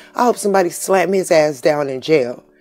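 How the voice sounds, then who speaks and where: Music plays in the background as a woman with a fairly low pitch speaks at a fairly slow pace, her intonation lively. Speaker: YouTuber. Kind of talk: casual talk to camera, reading news story aloud. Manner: stutters.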